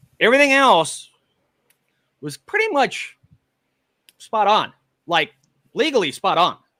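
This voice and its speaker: Raising and projecting his voice, a man speaks at a fairly slow pace with long, frequent pauses, his high pitch swinging very widely in a bright, sharp tone. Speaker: live streamer, paranormal investigator. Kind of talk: heated debate. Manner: loud.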